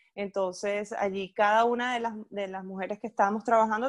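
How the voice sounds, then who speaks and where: A woman speaks at a fairly quick pace with a medium pitch. The sound is dry and close, with no echo. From Venezuela, Puerto Ordaz (Ciudad Guayana). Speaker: event producer. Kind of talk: casual interview. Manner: animated, with many repetitions.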